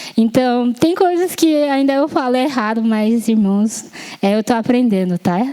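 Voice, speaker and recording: A high-pitched woman with a Japanese accent, lively intonation, a fairly slow pace and very even loudness, over noticeable background noise. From Japan, Yamanashi. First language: Japanese (speaking Portuguese). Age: 20s. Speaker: lay preacher. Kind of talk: sermon. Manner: halting, with self-corrections and fillers.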